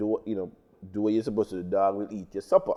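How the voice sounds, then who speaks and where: A man in a Caribbean accent has a fairly low pitch and a dark, mellow tone. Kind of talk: casual talk show chat. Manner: fast.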